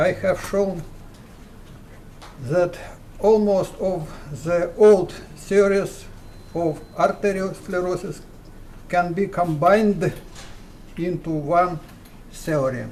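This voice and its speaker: With a Russian accent, a man speaks in a high pitch at a very slow pace. His intonation is fairly even, broken by long, frequent pauses. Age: 70s. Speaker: physicist. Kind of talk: recorded greeting. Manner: formal.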